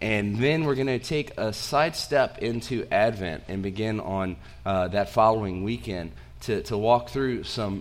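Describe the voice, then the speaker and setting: Audible room echo surrounds a man speaking at a fairly slow pace with a fairly low pitch and lively intonation. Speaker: pastor. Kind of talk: sermon. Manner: halting, with fillers.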